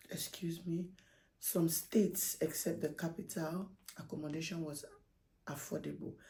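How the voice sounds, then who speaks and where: With long, frequent pauses, a woman talks in a somewhat breathy, dark and mellow voice at a fairly low pitch. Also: fairly even intonation, moderate pace. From Nigeria. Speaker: YouTuber. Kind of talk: casual vlog talk to camera.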